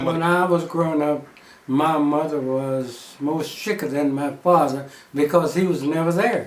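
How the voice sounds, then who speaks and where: The speaker has an American accent and a fairly slow pace, with ordinary pitch variation. Noticeable background noise is present. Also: man, fairly high pitch for a man. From Texas. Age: 80s+. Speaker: former gas station owner. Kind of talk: interview answer.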